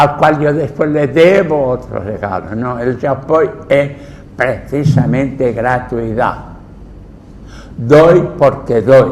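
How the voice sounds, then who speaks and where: Noticeable background noise and audible room echo accompany a man speaking at a very slow pace. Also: medium pitch for a man, ordinary pitch variation. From Mallorca, Spain. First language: Catalan (Mallorquin) (speaking Spanish). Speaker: Jesuit priest, linguist and anthropologist. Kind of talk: lecture. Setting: cultural center talk with audience.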